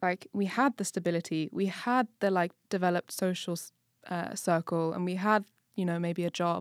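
Fairly even intonation marks this woman's speech. The recording is very clean, with a silent background. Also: medium pitch for a woman, moderate pace, dry, close sound with no echo. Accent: English. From England. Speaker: podcast co-host. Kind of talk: casual chat.

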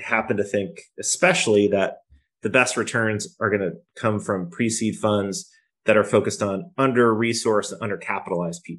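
A man speaks in an ordinary speaking voice at a fairly low pitch, with ordinary pitch variation. His pace is moderate, and the background is quiet. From New York, Poughkeepsie. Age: 40s. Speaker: founder and angel investor. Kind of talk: casual interview.

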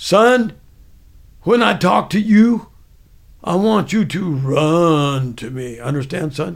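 Putting on a character voice in a Southern US accent, a man speaks high in pitch at a fairly slow pace with long, frequent pauses. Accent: Southern American. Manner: bullying, commanding.

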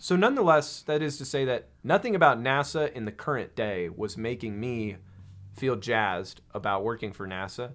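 Very cleanly recorded against a silent background, a man with an American accent and a plain, everyday voice talks at medium pitch and a moderate pace with lively intonation. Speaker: aerospace engineer. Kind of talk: casual chat. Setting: studio.

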